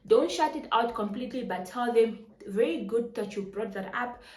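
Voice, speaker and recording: A woman speaks with a fairly high pitch. Noticeable background noise and audible room echo come through. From Namibia. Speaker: personal finance YouTuber. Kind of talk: tutorial. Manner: fast.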